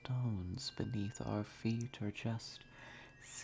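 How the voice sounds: Intonation here stays fairly even. It is delivered in a natural reading voice.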